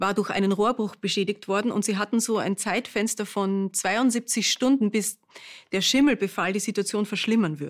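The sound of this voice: Heard here is an unforced reading voice with fairly even intonation.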